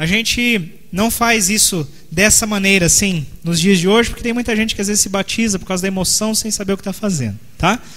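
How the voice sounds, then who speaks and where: A man's high pitch with ordinary variation at a fairly quick pace, amid noticeable background noise and audible room echo. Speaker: pastor. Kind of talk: sermon. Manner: fast.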